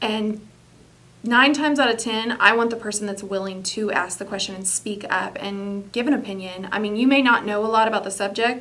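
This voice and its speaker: A woman speaks at a fairly quick pace with a fairly high pitch and fairly even intonation. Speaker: business executive. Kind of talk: interview. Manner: loud.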